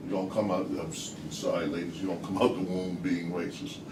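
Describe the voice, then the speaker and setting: A man talks with an American accent. The recording has audible room echo and noticeable background noise. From United States. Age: 60s. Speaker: discussion participant. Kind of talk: group discussion. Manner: halting, repetitive.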